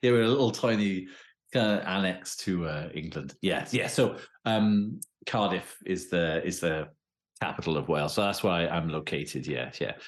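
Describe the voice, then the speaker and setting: A man's very deep, low voice in a British accent, with lively intonation at a moderate pace. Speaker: professor of criminology. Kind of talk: interview.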